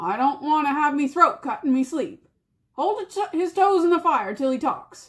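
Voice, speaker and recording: This woman uses a put-on character voice. Her pitch sits high. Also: moderate pace. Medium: read story. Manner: coarse, rough.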